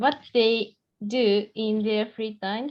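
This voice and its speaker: A woman speaks with a Japanese accent at a fairly high pitch. Her pace is fairly slow. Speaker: student. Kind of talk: class presentation.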